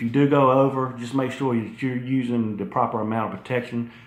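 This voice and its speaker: Audible room echo surrounds the voice. The talking is fairly fast. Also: man. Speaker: fitness YouTuber. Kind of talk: casual video talk. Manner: profane, conversational.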